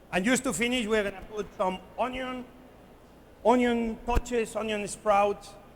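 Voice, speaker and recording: A high-pitched man with a Spanish accent speaks at a fairly slow pace. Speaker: chef. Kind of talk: live cooking demonstration to an audience. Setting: conference stage. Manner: lively, playful.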